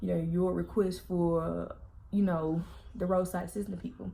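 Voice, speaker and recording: Somewhat breathy with a dark, mellow tone, a woman speaks at medium pitch and a moderate pace. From Southern US. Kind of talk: casual storytime vlog to camera. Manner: chatty, talkative.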